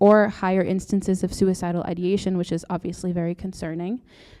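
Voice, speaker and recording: Speaking at a very fast pace, a woman with a medium pitch and a dark, mellow tone comes through on a very clean recording with a silent background. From Brazil. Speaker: doctoral student presenter. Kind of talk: conference presentation. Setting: stage with audience and mic.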